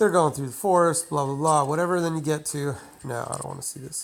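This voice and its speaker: Her voice very deep and low, a woman speaks with fairly even intonation. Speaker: gaming video creator. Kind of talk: tutorial. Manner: casual, many filler words.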